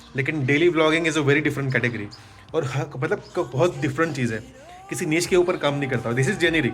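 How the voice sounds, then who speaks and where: Music plays in the background. The intonation stays fairly even. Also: man. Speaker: digital marketer and vlogger. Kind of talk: casual vlog talk.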